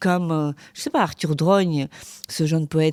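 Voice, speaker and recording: In a very clean recording with a silent background and a dry, close sound free of echo, a woman speaks at a moderate pace in a very deep, low pitch. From Ukraine. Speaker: podcast host, academic and journalist. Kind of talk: interview.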